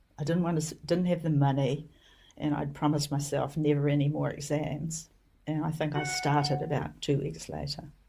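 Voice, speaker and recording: A woman talks in a very deep, low pitch with flat, monotone intonation. Her pace is fairly quick, and background noise is noticeable. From New Zealand. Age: old. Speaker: homeopath and educator. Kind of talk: interview storytelling.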